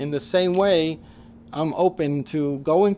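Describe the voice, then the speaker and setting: Here a man speaks in a New York accent. His tone is dark and mellow, with ordinary pitch variation. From Queens, New York. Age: 60s. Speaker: photographer. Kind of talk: interview. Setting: in his mother's garage. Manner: reflective, conversational.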